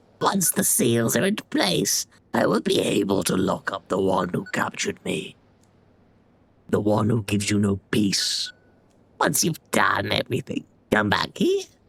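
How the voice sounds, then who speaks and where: Someone in a put-on character voice speaks low at a moderate pace, with long, frequent pauses. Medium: game stream. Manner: solemn, cryptic.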